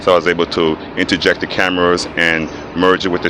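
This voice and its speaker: A man speaks at a fairly quick pace with a very deep, low pitch. His intonation is flat and monotone, and there is noticeable background noise. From Belize (Belize City). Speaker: filmmaker. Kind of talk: interview.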